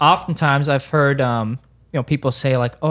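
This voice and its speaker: A man's fairly high voice at a fairly quick pace, fairly even in intonation, on a very clean recording with a silent background. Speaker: pastor. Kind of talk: casual podcast discussion about Bible study. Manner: hesitant, many filler ums.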